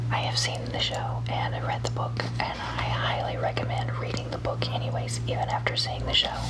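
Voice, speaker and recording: A woman with a very deep, low pitch speaks at a moderate pace in a monotone, flat intonation over noticeable background noise. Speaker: ASMR artist doing a librarian roleplay. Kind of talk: ASMR roleplay, helpful librarian talking to the listener. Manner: soft-spoken, friendly.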